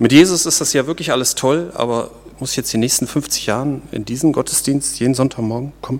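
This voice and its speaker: At a fairly quick pace, a man with a normal speaking voice talks at a fairly high pitch with ordinary pitch variation. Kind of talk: sermon. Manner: conversational and informal, explaining and joking; warm, earnest, teaching tone.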